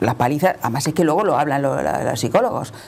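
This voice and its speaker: Very wide pitch swings mark a woman's speech at a very fast pace. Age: 60s. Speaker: panel guest. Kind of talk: panel discussion.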